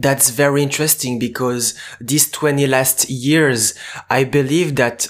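At a moderate pace, a man talks with a fairly high pitch. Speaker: podcast host, student. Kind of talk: interview.

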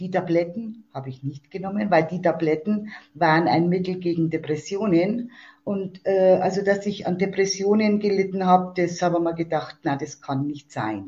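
A woman speaks in a dark, mellow tone with ordinary pitch variation. Her voice is somewhat breathy. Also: medium pitch for a woman, moderate pace. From Germany, Fichtelgebirge (Upper Franconia, Bavaria). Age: 60s. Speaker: support group leader and patient. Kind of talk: interview. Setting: phone call.

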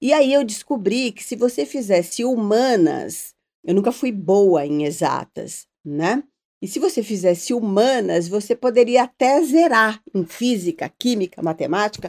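The pitch leaps across a very wide range and the loudness rises and falls sharply. The pace is fairly slow. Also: woman, dry, close sound with no echo. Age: 50s. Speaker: TV journalist. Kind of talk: casual interview chat.

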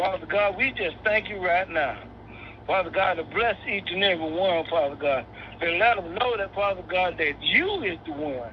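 A man talks at a moderate pace with a high pitch and ordinary pitch variation. Noticeable background noise runs behind him. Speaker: prayer participant. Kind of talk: prayer. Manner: repetitive, fervent.

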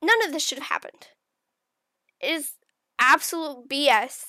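In a raised, projected voice with a bright, sharp tone, a woman talks at a moderate pace. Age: 20s. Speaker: podcast co-host. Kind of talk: monologue commentary.

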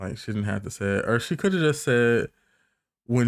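The recording is very clean, and the background is silent. Here is a plain, everyday voice whose pitch varies in an ordinary way. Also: man. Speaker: podcast co-host and TV recapper. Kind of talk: casual recap chat. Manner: conversational, chatty.

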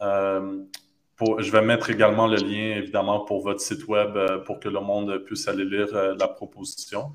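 A man's fairly low voice at a moderate pace. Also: fairly even intonation. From Quebec (Montreal). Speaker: podcast host. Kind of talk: interview. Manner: halting, many repetitions.

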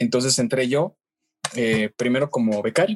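Dry and close with no echo, a man's ordinary speaking voice moves at a fairly quick pace with a medium pitch and ordinary pitch variation. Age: 20s. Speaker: radio news anchor and reporter. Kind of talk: interview.

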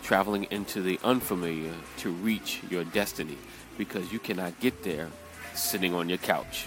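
Over music in the background, a man with a very deep, low pitch talks at a fairly slow pace in a New York accent. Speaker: motivational speaker. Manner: energetic, emphatic.

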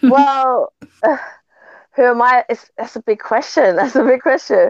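The speaker has a British accent and a fairly slow pace. The sound is dry and close, with no echo. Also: woman, high pitch for a woman, ordinary pitch variation. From London, Brixton. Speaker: musician. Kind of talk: interview.

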